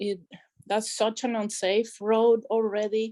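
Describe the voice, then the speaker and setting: In a strong Spanish accent, a woman speaks at a very slow pace. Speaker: public commenter at council meeting. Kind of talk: public comment.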